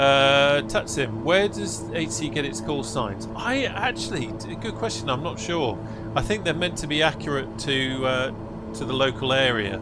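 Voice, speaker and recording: Over music in the background, a man with an English accent talks at a moderate pace amid audible room echo. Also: medium pitch for a man, ordinary pitch variation. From England. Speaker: flight sim streamer. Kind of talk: livestream commentary. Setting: livestream. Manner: casual, hesitant with fillers.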